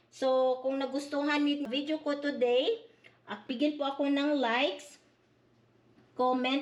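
A woman speaks in a high-pitched voice. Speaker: vlogger. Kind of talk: vlog narration.

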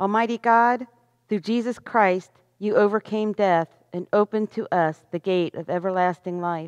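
Against a quiet background, a woman talks at a moderate pace. Her intonation is fairly even. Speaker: worship leader. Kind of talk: reading aloud. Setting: church. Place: church. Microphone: headset.

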